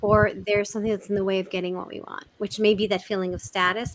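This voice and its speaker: A woman with a New York accent races along at a very fast pace with fairly even intonation. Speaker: communication expert. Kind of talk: interview. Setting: live video chat. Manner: direct, fast-talking.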